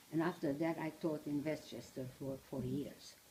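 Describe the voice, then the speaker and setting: A woman's very deep, low voice at a moderate pace. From Transylvania, Romania. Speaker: Holocaust survivor speaker, retired teacher. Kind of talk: personal testimony talk to small audience. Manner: halting.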